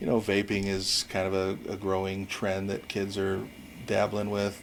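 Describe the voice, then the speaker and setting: Speaking with an American accent, a man's voice sits at a fairly low pitch. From US Pacific Northwest (Washington State), early childhood in New Zealand. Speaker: high school principal. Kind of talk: interview. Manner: halting.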